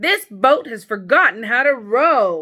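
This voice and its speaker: Using a put-on character voice, a woman speaks at a fairly high pitch with very wide pitch swings. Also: fairly slow pace. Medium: read story. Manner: patient, gentle.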